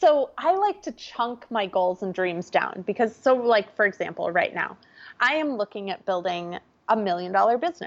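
A woman with an Upper Midwest accent speaks at a moderate pace in a fairly high voice, her tone energetic and her intonation lively. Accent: Upper Midwest American. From US Midwest, small-town Minnesota. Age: 30s. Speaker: entrepreneur and life coach. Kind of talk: podcast interview.

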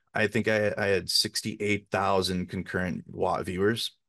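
A man's fairly low, monotone voice with flat intonation and an American accent, over a quiet background. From Minnesota, US Midwest. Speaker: army veteran and independent journalist. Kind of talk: interview. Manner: halting, many fillers and restarts.

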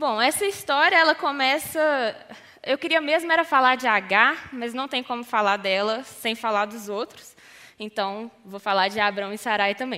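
Her voice high-pitched with a bright, sharp tone, a woman speaks with lively intonation. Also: moderate pace. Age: 20s. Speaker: youth ministry leader. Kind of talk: sermon.

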